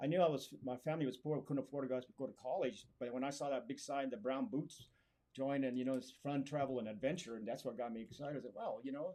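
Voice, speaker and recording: A dark, mellow voice with an American accent at a very fast pace, with ordinary pitch variation. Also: man, medium pitch for a man. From Arizona (Springerville). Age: 70s. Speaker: army veteran and DJ. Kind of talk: interview.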